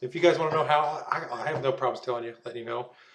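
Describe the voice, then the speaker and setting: This man's voice sits at a fairly high pitch. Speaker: vaping vlogger. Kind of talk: casual vlog monologue. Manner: fast.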